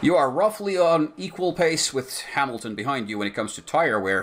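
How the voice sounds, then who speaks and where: Amid noticeable background noise, a man talks at a fairly quick pace with very wide pitch swings. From Finland. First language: Finnish. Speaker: gaming streamer. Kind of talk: casual chat. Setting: livestream with voice chat.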